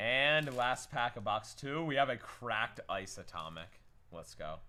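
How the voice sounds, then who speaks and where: A man with vocal fry speaks at a fairly slow pace, his intonation lively. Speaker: card breaker streamer. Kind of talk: livestream pack opening. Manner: animated.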